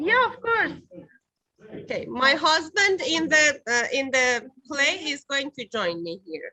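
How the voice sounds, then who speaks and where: A woman with a non-native accent speaks in a raised, projected voice at a very slow pace. Her high-pitched, bright, sharp tone makes very wide pitch swings. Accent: foreign. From Iran. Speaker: stage actress. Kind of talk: interview. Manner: halting.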